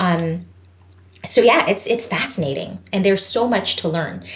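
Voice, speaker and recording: Noticeable background noise plus audible echo from the room. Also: woman. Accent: Filipino. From Philippines. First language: Tagalog. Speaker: voice teacher. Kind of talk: podcast interview. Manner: animated.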